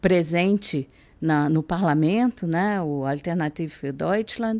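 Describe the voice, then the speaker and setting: On a very clean recording with a silent background, a woman with a very deep, low pitch and a dark, mellow tone speaks at a fairly slow pace with ordinary pitch variation. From Rio de Janeiro state, Brazil (Nova Iguaçu, Baixada Fluminense). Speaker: NGO country director. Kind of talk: interview. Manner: halting.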